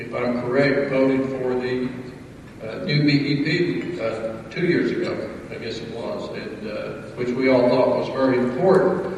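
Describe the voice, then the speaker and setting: In an Appalachian accent, a man speaks at a fairly slow pace with ordinary pitch variation and big swings in loudness. Noticeable background noise and audible room echo are present. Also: medium pitch for a man. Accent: Appalachian US Southern. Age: 50s. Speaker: state legislator. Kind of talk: public speech. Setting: breakfast event with audience.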